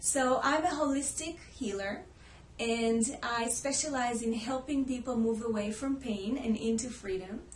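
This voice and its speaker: In an Israeli accent, a woman speaks at a high pitch and fairly slow pace, with ordinary pitch variation. Audible room echo and noticeable background noise fill the recording. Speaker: holistic healer. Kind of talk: personal story to camera.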